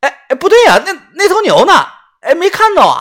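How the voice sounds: A put-on character voice with a fairly bright tone moves at a fairly quick pace through very wide pitch swings.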